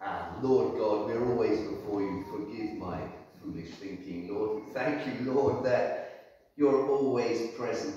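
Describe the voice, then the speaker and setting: A man at a very slow pace with ordinary pitch variation, in strong room echo. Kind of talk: spoken prayer. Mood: calm, reverent. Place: church. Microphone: camera far.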